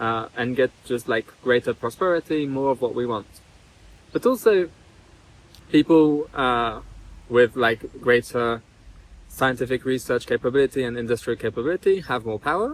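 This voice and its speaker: A man speaks at a moderate pace and a medium pitch, with ordinary pitch variation and long, frequent pauses, in a dry, close recording with no echo. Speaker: AI safety bootcamp teacher. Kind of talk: interview. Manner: hesitant, many filler words.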